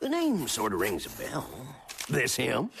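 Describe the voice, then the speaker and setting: Clear background noise sits under this recording. A man does a cartoonish character voice at a moderate pace. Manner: grumbling, lecturing.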